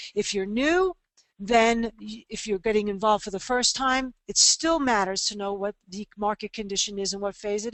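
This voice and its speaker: A woman has an unremarkable speaking voice with a fairly high pitch. She talks at a moderate pace with ordinary pitch variation. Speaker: trading educator. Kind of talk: webinar presentation. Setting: online webinar.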